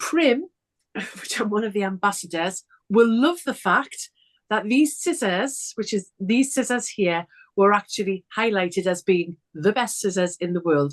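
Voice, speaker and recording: Her Geordie accent clear, a woman of medium pitch speaks at a fairly slow pace with lively intonation, the sound dry and close with no echo. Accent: broad Geordie. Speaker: sewing presenter. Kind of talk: casual chat.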